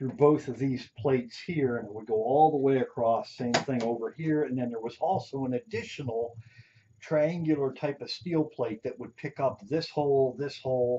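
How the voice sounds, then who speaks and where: A man speaks with a Pennsylvania accent at a moderate pace. His medium-pitched voice shows ordinary pitch variation. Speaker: robot builder, hobbyist YouTuber. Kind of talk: tutorial teardown walkthrough. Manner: casual, hesitant with many fillers.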